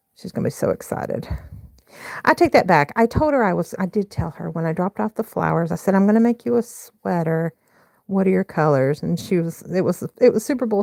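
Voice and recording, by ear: A woman with a fairly low pitch and a slightly mellow tone speaks with vocal fry and lively intonation, recorded dry and close with no echo.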